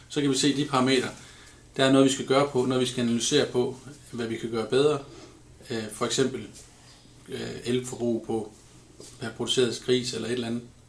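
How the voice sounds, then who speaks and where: A man speaks at a fairly quick pace and medium pitch. His intonation is monotone and flat, broken by long, frequent pauses. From Denmark, Ribe area (southwest Jutland). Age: 30s. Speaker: pig farmer. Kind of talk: interview.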